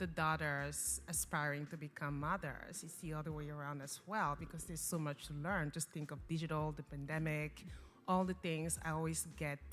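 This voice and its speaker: Music plays in the background. The voice keeps a moderate pace and fairly even intonation. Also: woman, very deep, low pitch for a woman. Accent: French. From Cameroon. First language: French. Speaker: nonprofit founder. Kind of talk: interview.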